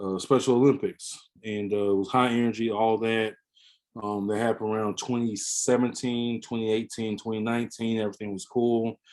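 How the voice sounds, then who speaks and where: Speaking with an American accent, a man holds a medium pitch and a flat, monotone intonation throughout. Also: moderate pace. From US South, Pensacola, Florida. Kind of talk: podcast interview. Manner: halting, many fillers.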